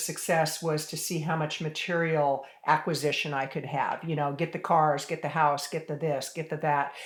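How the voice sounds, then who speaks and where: A woman with an ordinary speaking voice talks at a moderate pace and a fairly low pitch. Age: 60s. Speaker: author and business strategist. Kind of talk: interview. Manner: conversational with many fillers.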